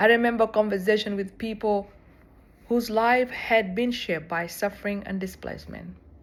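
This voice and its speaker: At a moderate pace and medium pitch, a woman speaks with a South Sudanese accent and fairly even intonation. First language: Dinka. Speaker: seminary student. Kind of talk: personal reflection.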